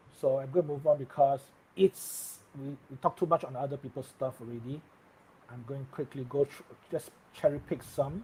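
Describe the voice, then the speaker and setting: Somewhat breathy, with a dark, mellow tone and a fairly high pitch, a man speaks at a moderate pace with fairly even intonation but big swings in loudness. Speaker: tech live streamer. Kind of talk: live stream tech news chat. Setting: live stream.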